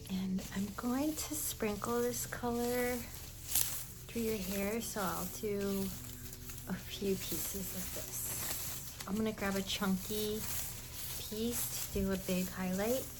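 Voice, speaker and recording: A woman's gentle, medium-pitched voice at a very slow pace, with lively intonation over noticeable background noise. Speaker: ASMR artist. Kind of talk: ASMR roleplay, hair-dye session. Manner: soft, gentle, casual.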